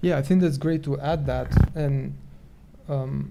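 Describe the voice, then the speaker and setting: A man's fairly high-pitched, dark and mellow voice at a moderate pace, with audible room echo. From Romania. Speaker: professor, seminar speaker. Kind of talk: academic Q&A discussion.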